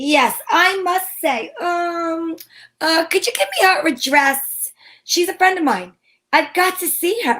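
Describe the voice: In a put-on character voice, a woman speaks at an extremely high pitch with a bright, sharp tone. Her pace is slow and her pitch varies in an ordinary way.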